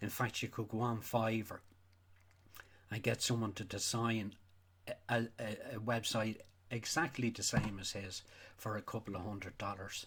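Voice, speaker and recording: In a Donegal accent, a man speaks at a moderate pace with medium pitch and monotone, flat intonation. His delivery has long, frequent pauses. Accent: Irish, Donegal. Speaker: sheep farmer. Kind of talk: casual talk to camera. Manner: angry, ranting.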